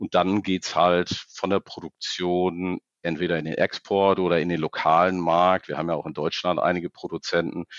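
This man's very deep, low voice moves at a moderate pace with monotone, flat intonation. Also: hardly any pauses. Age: 40s. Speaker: fertilizer trading executive. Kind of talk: interview.

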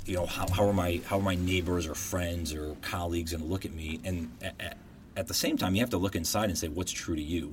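Very deep, low male voice, somewhat breathy, at a very fast pace. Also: fairly even intonation. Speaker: podcast host, guest. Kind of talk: casual interview.

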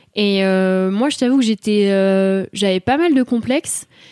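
A woman speaks in an animated tone at a fairly slow pace, with ordinary pitch variation. The sound is dry and close, with no echo. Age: 20s. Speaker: communication student. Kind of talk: casual interview. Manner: animated, laughs often.

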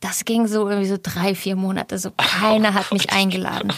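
A woman is speaking. Her pace is moderate. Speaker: actress. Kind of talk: casual interview.

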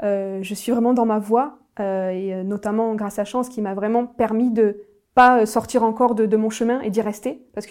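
With fairly even intonation, a woman talks at a moderate pace in a fairly high voice. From southern France (Nîmes). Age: 30s. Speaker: former bank employee turned writer. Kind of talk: personal testimony. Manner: hesitant, frequent fillers and repetitions.

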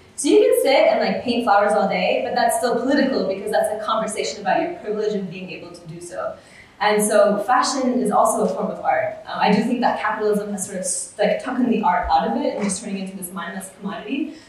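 Talking at a very fast pace with hardly any pauses, a woman with an American accent uses a fairly high pitch and big swings in loudness over noticeable background noise. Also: ordinary pitch variation. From US, Oklahoma suburb. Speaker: ethical fashion activist. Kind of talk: panel discussion before live audience. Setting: live event with audience at a university. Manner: casual, many fillers like 'like' and 'um'.

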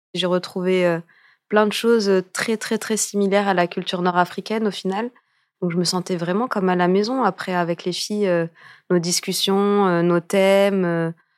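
Recorded very cleanly with a silent background and a dry, close sound with no echo, a woman at medium pitch speaks at a moderate pace with monotone, flat intonation. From France. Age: 30s. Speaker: dancer and choreographer. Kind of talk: interview. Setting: studio.

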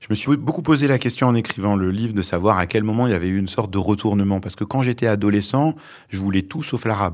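A man's fairly low voice at a very fast pace, ordinary pitch variation, on a very clean recording with a silent background. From France, born in Lebanon. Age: 40s. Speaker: journalist and author. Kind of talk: interview. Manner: hesitant, many fillers.

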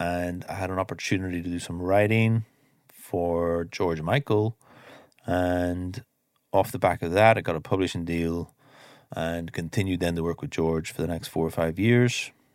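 A man with an Irish accent, very deep and low in pitch, fairly even intonation, moderate pace, on a very clean recording with a silent background. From Ireland. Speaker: mix engineer. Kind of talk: interview.

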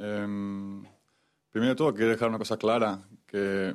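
A man's fairly low-pitched, monotone voice with flat intonation, at a fairly slow pace against a quiet background. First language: Spanish (speaking French). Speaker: football goalkeeper. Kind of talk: press conference.

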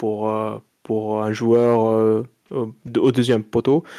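A man speaks at medium pitch in a monotone, flat intonation. The recording is very clean, dry and close, with a silent background and no echo. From Morocco. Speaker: football pundit. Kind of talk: casual chat.

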